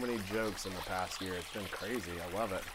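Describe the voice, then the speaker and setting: A soft-spoken man with a fairly low pitch and fairly even intonation, against noticeable background noise and audible room echo. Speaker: artist teaching art. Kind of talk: casual art tutorial. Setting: studio with blue screen. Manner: playful, joking.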